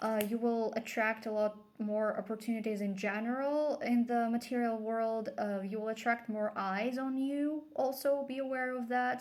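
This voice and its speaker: Here a woman with a non-native accent speaks at a moderate pace. Her pitch is fairly high and her intonation fairly even. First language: not English. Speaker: tarot reader. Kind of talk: tarot reading. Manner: casual, with fillers and hesitations.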